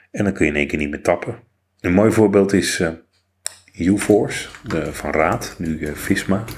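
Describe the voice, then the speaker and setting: A soft-spoken man talks at a moderate pace with a very deep, low pitch. His speech has long, frequent pauses. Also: ordinary pitch variation. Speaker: podcast host, blind ICT worker. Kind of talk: casual chat. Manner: normally loud.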